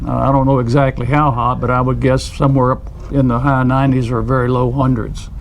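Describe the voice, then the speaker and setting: Talking at a fairly quick pace with hardly any pauses, the voice stays monotone and flat at a very even loudness, with audible room echo and noticeable background noise. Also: man, medium pitch for a man. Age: 70s. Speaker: angler. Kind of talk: casual chat.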